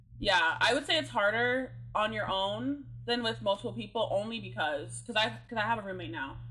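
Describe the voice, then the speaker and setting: The speech moves at a fairly quick pace with hardly any pauses. Room echo is audible throughout. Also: woman. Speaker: podcast co-host. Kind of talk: casual chat.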